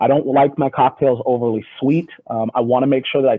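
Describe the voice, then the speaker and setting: With an American accent, a man speaks at medium pitch. His pace is fairly quick and his intonation fairly even. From US Pacific Northwest, Seattle. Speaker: whisky brand ambassador. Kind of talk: video call interview.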